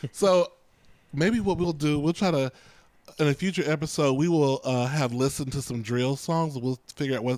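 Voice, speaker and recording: With an ordinary speaking voice, a man talks at a moderate pace with a fairly high pitch and ordinary pitch variation. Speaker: podcast co-host. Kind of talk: casual chat.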